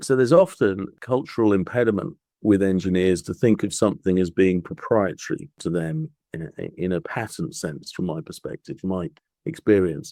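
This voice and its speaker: With a dark, mellow tone and fairly low pitch, a man speaks at a moderate pace in very wide pitch swings, the sound dry and close with no echo. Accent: British. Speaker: patent attorney. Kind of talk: podcast interview. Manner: hesitant, with fillers and repeats.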